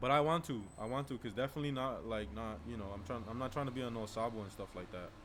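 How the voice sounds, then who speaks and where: Using a Spanish accent, a man speaks very fast with hardly any pauses, a medium pitch and ordinary pitch variation. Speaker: medical student streamer. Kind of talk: live stream chat. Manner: casual, filler-heavy.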